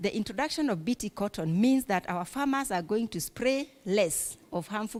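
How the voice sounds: A woman speaks at a moderate pace with a medium pitch. Her tone is slightly mellow, and her intonation is lively.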